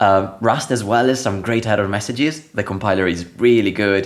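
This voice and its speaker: A man with an Italian accent talks at a moderate pace in a fairly low pitch. His pitch variation is ordinary and his loudness very even. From Italy. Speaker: software developer, programming language core team member. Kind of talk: podcast interview.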